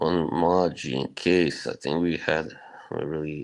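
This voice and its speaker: He speaks in a very deep, low voice with a Bosnian accent, at a very slow pace. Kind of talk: casual chat. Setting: live stream.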